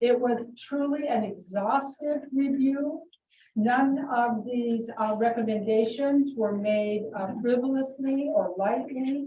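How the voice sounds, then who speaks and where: At a very slow pace, a woman speaks in a high pitch with fairly even intonation. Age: 60s. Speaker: school superintendent. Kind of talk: public meeting statement.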